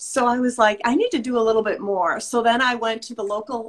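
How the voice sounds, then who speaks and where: Moderately paced, a woman with an American accent speaks in a plain, everyday voice at a fairly high pitch. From US Midwest. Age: 60s. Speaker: fitness instructor and skincare business owner. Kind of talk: casual chat.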